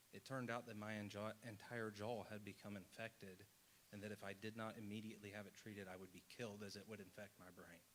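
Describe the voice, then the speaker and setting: A man's fairly low, fairly quick delivery in an American accent, an ordinary speaking voice with fairly even intonation. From rural Indiana. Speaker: audience member. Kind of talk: testimony. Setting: town hall with audience.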